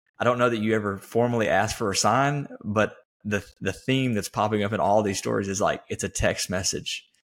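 With fairly even intonation and a fairly low pitch, the man has an ordinary speaking voice. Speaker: podcast host. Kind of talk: casual interview chat.

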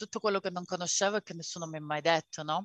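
A woman's voice has a bright, sharp tone and ordinary pitch variation. It sounds dry and close, with no echo. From Calabria, southern Italy. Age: 30s. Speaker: podcast co-host, mother. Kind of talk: casual interview.

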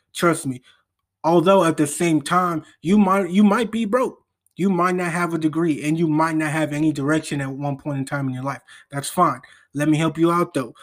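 A normal speaking voice moves at a moderate pace with ordinary pitch variation. The recording is very clean, with a silent background. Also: man, fairly high pitch for a man. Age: 20s. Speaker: podcast host. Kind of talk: motivational monologue. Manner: casual, slangy.

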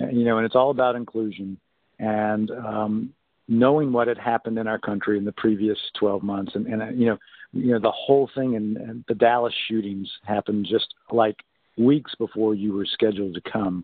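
A man with an American accent has an ordinary speaking voice at medium pitch. He keeps a moderate pace and fairly even intonation. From US South, North Carolina. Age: 50s. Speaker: pastor. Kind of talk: casual chat.

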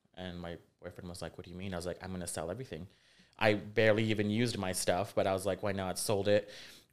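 A man with an American accent talks at a very fast pace. His very deep, low voice has fairly even intonation. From Rio Grande Valley, South Texas. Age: 30s. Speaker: fashion designer. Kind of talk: casual interview chat.

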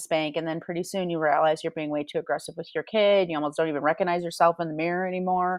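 Fairly low-pitched, a woman rattles along at a very fast pace. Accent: American. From Michigan, Grand Rapids. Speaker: parent coach. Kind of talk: interview.

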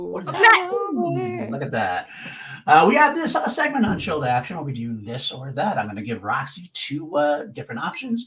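A man talks at a fairly quick pace, his loudness swinging widely. Noticeable background noise is present. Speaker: podcast co-host. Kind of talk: casual chat. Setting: video call.

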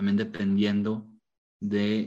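Speaking at a very slow pace, the man has a fairly low-pitched voice. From Mexico, León, Guanajuato. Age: 30s. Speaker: football referee and tortilla shop owner. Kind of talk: interview.

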